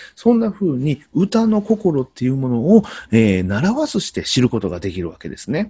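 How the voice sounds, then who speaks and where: A man speaks at medium pitch with a dark, mellow tone, somewhat breathy, at a moderate pace. His pitch swings very widely against a quiet background. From Kyoto, Japan; Japan. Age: 40s. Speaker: Noh performer and teacher; teacher. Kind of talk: explanatory talk to camera; lecture. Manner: halting, many fillers. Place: home room. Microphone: webcam.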